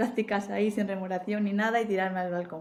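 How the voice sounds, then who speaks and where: A woman with an Asturian accent talks with ordinary pitch variation amid noticeable background noise and audible room echo. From Spain, Asturias. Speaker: marketing executive. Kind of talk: interview.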